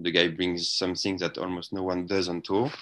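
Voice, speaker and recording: A man with a French accent speaks at a very deep, low pitch. His tone is bright and sharp. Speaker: sports journalist. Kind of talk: interview. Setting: remote call from Melbourne.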